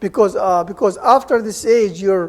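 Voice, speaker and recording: In an Arabic accent, a man speaks at a moderate pace with a high pitch and fairly even intonation. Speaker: Arabic language lecturer. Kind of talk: seminar talk. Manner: informal, conversational.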